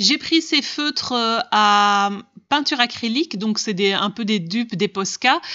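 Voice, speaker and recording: A woman's fairly high voice carries lively intonation as she talks. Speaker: craft and haul vlogger. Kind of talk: product haul video. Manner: animated.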